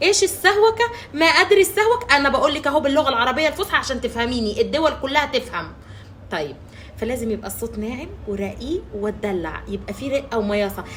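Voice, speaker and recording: Loud and high-pitched, a woman speaks at a fairly quick pace in an Egyptian accent. Her pitch swings very widely. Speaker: social media relationship coach. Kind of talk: advice monologue to camera. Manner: loud, emphatic.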